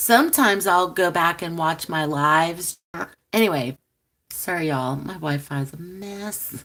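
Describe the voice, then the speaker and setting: A woman with a bright, sharp tone speaks at a fairly low pitch with ordinary pitch variation, in a very clean recording with a silent background. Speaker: tarot reader and channel host. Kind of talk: live stream chat reading comments. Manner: slow.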